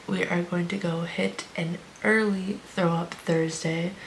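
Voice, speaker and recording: Noticeable background noise runs under a woman who speaks fairly slowly at a fairly low pitch. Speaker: fitness vlogger and online coach. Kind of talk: casual vlog talk. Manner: quiet.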